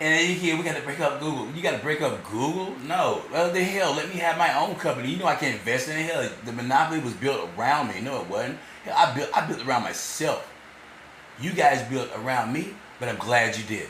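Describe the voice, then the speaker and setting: At a fairly quick pace and with ordinary pitch variation, the speaker is heard through audible room echo and noticeable background noise. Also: man, fairly high pitch for a man. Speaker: vlogger. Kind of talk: rambling monologue. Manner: halting, repeats words.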